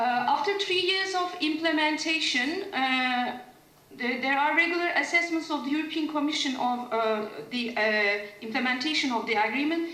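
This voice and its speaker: A woman with a Turkish accent uses a raised, projected voice, a high pitch, and lively intonation. Audible room echo and noticeable background noise surround her. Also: moderate pace. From Turkey. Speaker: legal scholar, conference panelist. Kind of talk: academic conference presentation. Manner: hesitant, many filler sounds.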